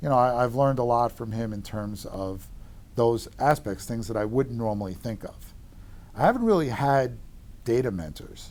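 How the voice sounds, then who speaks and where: A man with a strong Long Island accent, medium pitch and ordinary pitch variation. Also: moderate pace. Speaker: real estate economist. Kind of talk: interview. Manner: sounds combative.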